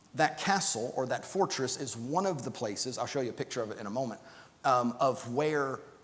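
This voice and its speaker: A man talks at a fairly quick pace. There is noticeable background noise along with audible room echo. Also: medium pitch for a man, lively intonation. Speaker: Bible class teacher. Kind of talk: Bible class lecture. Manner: halting, many fillers and repeats.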